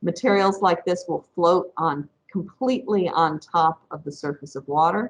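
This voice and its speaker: A woman with an upstate New York accent speaks in a fairly low pitch with ordinary pitch variation. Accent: US regional accent (upstate New York). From upstate New York, Rochester area. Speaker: professor. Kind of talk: lecture. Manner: deliberately not too fast.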